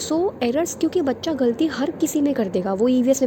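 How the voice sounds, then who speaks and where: A soft-spoken woman talks with ordinary pitch variation. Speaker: online teacher for teaching exams. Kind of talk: lecture. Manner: soft-spoken, quiet.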